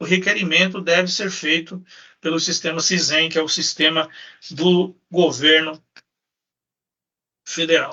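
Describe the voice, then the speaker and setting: A man speaking at a moderate pace. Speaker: lawyer. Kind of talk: lecture. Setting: live stream.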